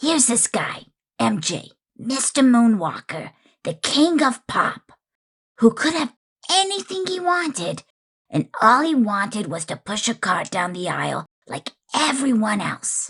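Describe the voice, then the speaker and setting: A man does a cartoonish character voice at an extremely high pitch. He goes at a fairly slow pace with very wide pitch swings. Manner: relaxed, wry, conversational.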